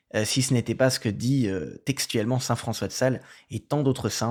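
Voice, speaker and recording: A man's voice at a moderate pace with ordinary pitch variation, on a very clean recording with a silent background. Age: 20s. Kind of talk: casual testimony and reading aloud. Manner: halting, with fillers and repetitions.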